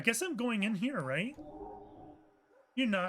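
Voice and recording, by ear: Lively intonation in a natural voice reading aloud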